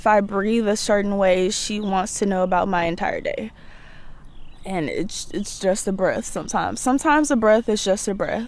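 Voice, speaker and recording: A woman talks at a moderate pace with ordinary pitch variation, and the room echo is audible. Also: medium pitch for a woman. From Mississippi, near Jackson. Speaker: college student. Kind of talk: personal storytelling interview.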